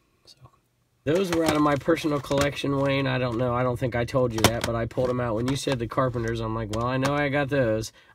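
Very fast speech in an American accent comes through dry, with no echo, over loud background noise. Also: man. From California. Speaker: eBay reseller and YouTuber. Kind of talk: casual vlog chat. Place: home room.

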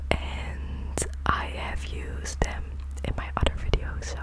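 At a very slow pace, a woman talks over loud background noise, with a dry sound and no echo. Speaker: ASMR creator. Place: home room. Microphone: studio mic.

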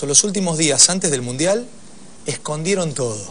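Over light background noise, a man talks at a moderate pace in a fairly high pitch with very wide pitch swings. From Argentina. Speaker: TV sports show host. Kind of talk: studio interview. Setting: TV studio. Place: studio. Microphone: lapel.

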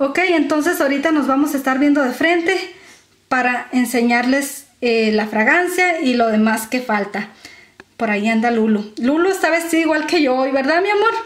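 A woman with a strong northern Mexican accent speaks at a high pitch, in a warm tone with lively intonation. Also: moderate pace. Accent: northern Mexican, strongly marked ch sound. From Mexico, Sonora. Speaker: beauty and perfume vlogger. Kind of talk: casual vlog talking to camera. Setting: at home, filming herself. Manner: warm, chatty.

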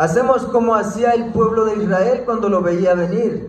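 A high-pitched man's voice at a fairly slow pace, fairly even in intonation, with audible room echo and light background noise. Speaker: preacher giving testimony. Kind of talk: sermon. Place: church. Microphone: handheld.

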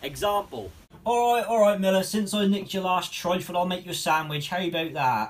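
A man with a Norfolk accent speaks at a high pitch. His pace is fairly quick, with ordinary pitch variation. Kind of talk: comedy sketch.

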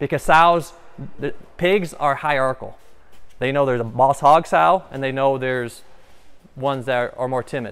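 Fairly even intonation at a moderate pace. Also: man. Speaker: farm equipment guide. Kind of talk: guided tour explanation. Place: farm machine.

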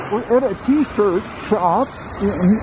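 There is noticeable background noise as the speaker goes at a very slow pace. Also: man. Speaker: travel vlogger. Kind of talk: casual vlog chat. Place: street. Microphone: phone near.

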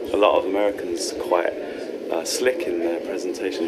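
With loud noise all around, a man keeps to a moderate pace. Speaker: comedian before a show. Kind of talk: interview answer. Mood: playful, laughing, self-mocking. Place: hall.

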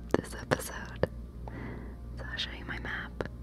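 A woman is whispering. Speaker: ASMR gaming creator. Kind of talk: ASMR gameplay commentary. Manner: whispered, soft-spoken.

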